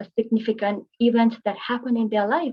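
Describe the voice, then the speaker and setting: Speaking at a moderate pace, a woman with a Tamil accent has a fairly high pitch. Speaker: art therapist. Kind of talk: webinar presentation.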